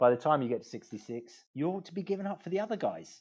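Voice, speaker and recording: The voice has a dark, mellow tone and lively intonation. It moves at a fairly quick pace over a quiet background. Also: man. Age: 60s. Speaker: law firm managing partner. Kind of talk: interview. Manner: halting, with many repetitions.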